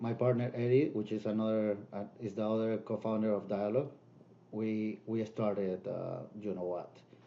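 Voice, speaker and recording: A man speaks in a Spanish accent at a medium pitch. His tone is dark and mellow, his intonation monotone and flat. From Peru. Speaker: DJ and music producer. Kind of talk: casual interview.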